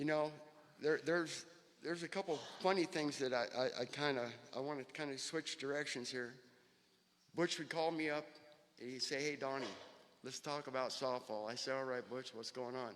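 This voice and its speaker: Long, frequent pauses break up speech delivered with fairly even intonation. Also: man, fairly high pitch for a man, moderate pace. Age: 60s. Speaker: recovering addict speaking at memorial. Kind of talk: eulogy. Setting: memorial gathering with audience.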